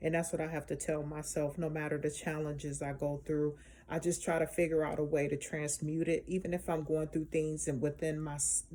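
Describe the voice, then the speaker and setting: With a very deep, low pitch and a dark, mellow tone, a woman speaks at a fairly quick pace in monotone, flat intonation, hardly pausing at all. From Chicago. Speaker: spiritual healer vlogger. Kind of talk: casual vlog monologue. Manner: passionate, emphatic.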